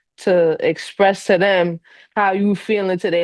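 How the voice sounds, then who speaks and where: A woman's medium-pitched voice with a New York accent and fairly even intonation. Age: 30s. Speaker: podcast guest, iron worker. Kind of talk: casual interview chat.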